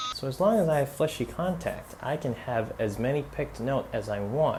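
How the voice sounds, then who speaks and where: A non-native accent against noticeable background noise. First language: not English. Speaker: guitarist. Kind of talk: tutorial. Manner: babbling, fast.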